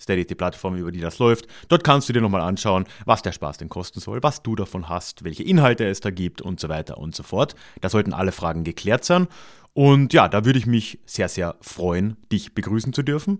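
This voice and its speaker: A man's fairly low voice at a fairly quick pace, lively intonation, on a very clean recording with a silent background. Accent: slight Austrian. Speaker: podcast host, historian. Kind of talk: podcast intro and outro monologue.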